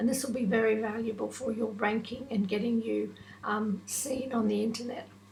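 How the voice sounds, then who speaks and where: With audible room echo and noticeable background noise, a woman with a fairly high pitch speaks at a moderate pace in a monotone, flat intonation. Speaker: online business tutor / vlogger. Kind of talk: tutorial.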